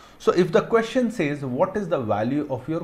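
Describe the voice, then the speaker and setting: The voice is somewhat breathy, with very wide pitch swings. Room echo is audible. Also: man. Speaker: accounting teacher. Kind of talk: lecture. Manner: slow.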